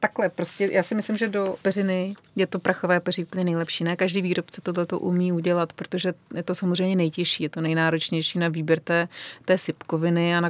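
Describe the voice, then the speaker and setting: A woman talks at a fairly quick pace in a fairly low voice with monotone, flat intonation. The sound is dry and close with no echo, in a very clean recording with a silent background. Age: young. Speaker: bedding business founder. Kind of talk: interview.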